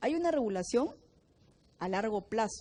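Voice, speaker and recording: The pace of this woman's speech is fairly quick. Her voice sits fairly high. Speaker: biochemistry teacher. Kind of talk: lecture. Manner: fast.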